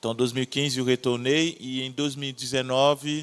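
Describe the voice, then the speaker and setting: A man with a Haitian accent speaks in a monotone with flat intonation. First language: Haitian Creole (speaking Portuguese). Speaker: missionary. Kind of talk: testimony.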